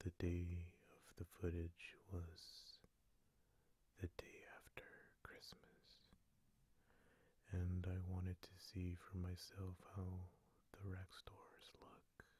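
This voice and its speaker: Soft-spoken delivery at a very slow pace with long, frequent pauses. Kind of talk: casual talk to camera, fragrance shopping video.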